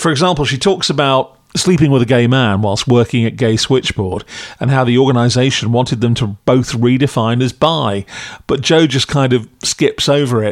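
A man with an English accent, medium pitch, moderate pace and ordinary pitch variation. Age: 50s. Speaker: podcast critic. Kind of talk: scripted review.

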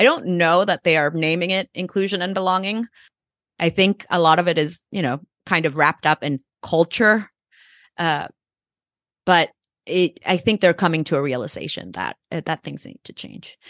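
A woman with a Spanish accent talks at a moderate pace in a fairly low voice. Her loudness swings widely, her pitch varies normally, and she takes long, frequent pauses. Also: dry, close sound with no echo, quiet background. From El Salvador. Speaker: nonprofit CEO. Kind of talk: interview.

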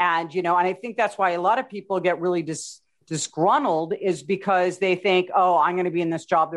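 Against a quiet background, a woman with an unremarkable speaking voice talks at a fairly quick pace and medium pitch, with ordinary pitch variation. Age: 50s. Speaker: podcast host. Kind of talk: interview.

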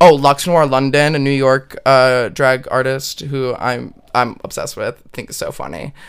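This man has an ordinary speaking voice at a medium pitch, talking at a moderate pace with fairly even intonation and big swings in loudness. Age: 20s. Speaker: podcast co-host. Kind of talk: casual chat.

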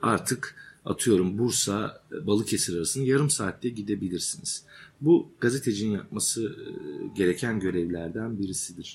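Somewhat breathy, a man speaks at a moderate pace in a fairly low pitch with ordinary pitch variation. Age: 40s. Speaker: journalist and author. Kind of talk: interview. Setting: journalism workshop.

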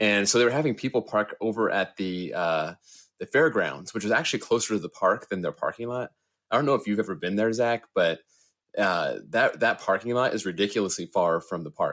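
In a very clean recording with a silent background, a man with a plain, everyday voice speaks at a fairly quick pace, with a fairly low pitch and ordinary pitch variation. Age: 30s. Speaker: coaster YouTuber. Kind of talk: casual chat.

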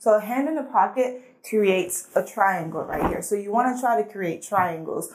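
The speaker talks at a fairly quick pace with ordinary pitch variation, and noticeable background noise is present. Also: woman. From Guinea, West Africa, then Atlanta from age 11. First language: Fulani and French. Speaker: model and actress. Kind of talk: casual interview chat.

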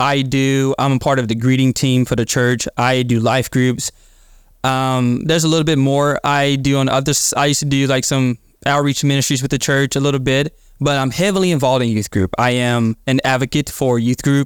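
A man at medium pitch with a plain, everyday voice, fairly quick in pace, fairly even in intonation and very even in loudness, dry and close with no echo in a very clean recording with a silent background. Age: 20s. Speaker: church member and podcaster. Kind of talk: testimony.

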